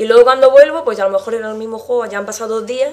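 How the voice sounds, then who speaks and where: A woman talking at a very fast pace with fairly even intonation, over noticeable background noise. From Murcia, Spain. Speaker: gamer guest. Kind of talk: casual interview.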